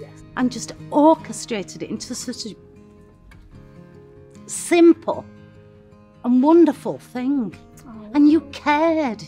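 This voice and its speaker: With faint music in the background, a woman speaks at a high pitch and a very slow pace, using very wide pitch swings, big swings in loudness and long, frequent pauses. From Sheffield, England. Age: 60s. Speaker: bereaved sister and former carer. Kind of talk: emotional personal tribute. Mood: emotional, heartfelt tribute. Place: garden. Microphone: lapel.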